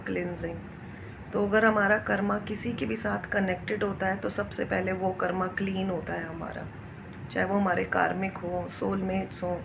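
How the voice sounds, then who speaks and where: There is audible room echo and noticeable background noise around this woman's voice. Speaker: spiritual vlogger. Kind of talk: spiritual talk to camera.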